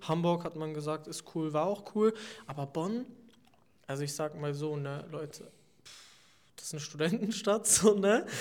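Talking at a moderate pace with long, frequent pauses, a man uses fairly high pitch and ordinary pitch variation. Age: 20s. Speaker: student representative. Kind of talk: interview.

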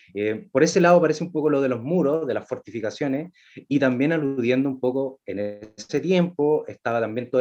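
With a Chilean accent, a man talks at a moderate pace in a fairly high pitch, his intonation lively. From Chile, Valparaíso. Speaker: actor and playwright. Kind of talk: casual chat. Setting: video call.

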